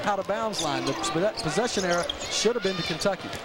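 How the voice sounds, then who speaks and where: Over loud background noise, a man with high pitch and an animated tone speaks at a very fast pace, the sound dry with no echo. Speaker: color commentator, analyst. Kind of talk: live sports commentary, analysis. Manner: conversational, animated, explanatory color commentary.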